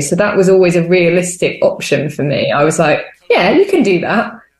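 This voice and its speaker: Audible room echo surrounds a voice moving at a fairly quick pace. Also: woman. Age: 20s. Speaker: theatre maker. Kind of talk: interview.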